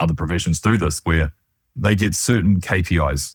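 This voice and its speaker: With a New Zealand accent, a man speaks at a moderate pace in a very deep, low pitch that is somewhat breathy. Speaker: financial planning researcher. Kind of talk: interview conversation.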